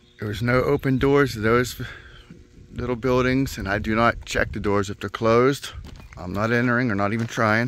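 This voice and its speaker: The delivery comes at a moderate pace with fairly even intonation and dry sound with no echo. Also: man. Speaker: explorer vlogger. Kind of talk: casual vlog chat. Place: open country. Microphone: phone near.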